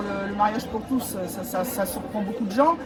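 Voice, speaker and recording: Crowd noise and audible room echo surround a woman talking at a fairly slow pace, her pitch fairly high with ordinary variation. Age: 60s. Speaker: pride march participant, activist. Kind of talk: street interview.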